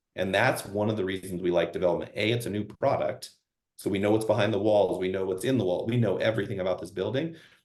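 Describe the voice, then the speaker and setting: Here a man with an American accent talks at a very fast pace. His voice is fairly low, with ordinary pitch variation. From eastern Washington, US. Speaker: real estate investment presenter. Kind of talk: webinar presentation. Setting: webinar.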